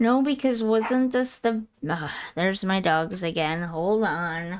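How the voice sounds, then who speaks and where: Speaking at a very slow pace, a woman uses lively intonation at a medium pitch. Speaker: gaming streamer. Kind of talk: live gameplay stream chat. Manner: casual, chatty.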